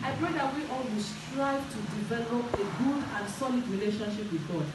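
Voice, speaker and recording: A woman keeps a moderate pace, with audible room echo and noticeable background noise around her. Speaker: minister. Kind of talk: sermon. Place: church.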